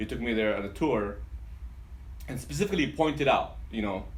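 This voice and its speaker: With an Arabic accent, a man talks fairly quickly at a fairly low pitch, with audible room echo. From Yemen, then Dearborn, Michigan from age 14. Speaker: pharmacist and business owner. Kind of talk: interview. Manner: halting, many fillers and repetitions.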